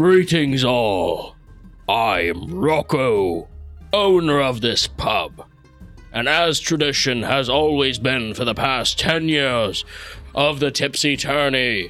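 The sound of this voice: Over clear background music, a man with a medium pitch for a man drags through a put-on character voice at a very slow pace.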